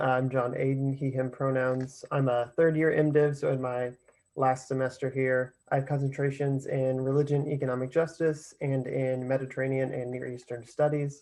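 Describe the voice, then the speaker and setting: Hardly pausing at all, a man talks at medium pitch with monotone, flat intonation. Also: moderate pace. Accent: American. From west central Illinois. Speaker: divinity student. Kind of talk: panel discussion.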